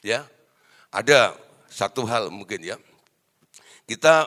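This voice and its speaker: A man with a bright, sharp tone speaks at a very slow pace with ordinary pitch variation, in a dry, close sound with no echo. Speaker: preacher. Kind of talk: sermon. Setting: stage with audience. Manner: loud; animated.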